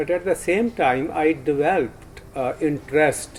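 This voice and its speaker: A man speaks with a Punjabi accent at a moderate pace. His pitch is fairly high. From Punjab, India. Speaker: poet. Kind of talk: interview. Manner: halting, many fillers.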